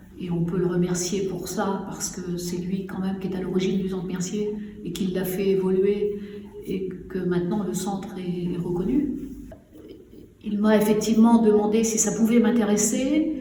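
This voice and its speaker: A woman at a medium pitch and moderate pace, fairly even in intonation, with noticeable background noise and audible room echo. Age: 60s. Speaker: retired training director, social centre president. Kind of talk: interview portrait. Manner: hesitant, many fillers.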